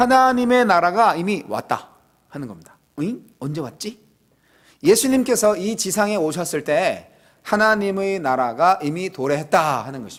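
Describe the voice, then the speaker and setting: The man's voice sits high and swings very widely in pitch at a moderate pace. The recording is very clean, with a silent background. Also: big swings in loudness. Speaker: pastor. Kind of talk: sermon. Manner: casual, conversational.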